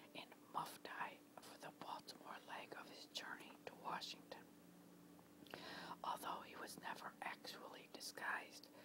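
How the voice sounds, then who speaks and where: The speaker is whispering at a fairly slow pace. Long, frequent pauses break up the speech. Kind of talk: whispered story narration, history reading. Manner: whispered.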